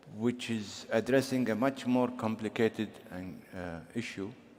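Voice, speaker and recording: Very slowly, a man talks with a non-native accent. His intonation stays fairly even. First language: not English. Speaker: government official panelist. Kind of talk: panel discussion. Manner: halting.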